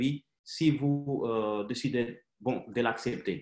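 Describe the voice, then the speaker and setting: Speaking with a non-native accent, a man of medium pitch keeps a fairly even intonation. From Haiti, raised mostly in Russia. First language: Russian (speaking French). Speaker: company director presenting business opportunity. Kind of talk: sales presentation webinar. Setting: online webinar. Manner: halting, many hesitations.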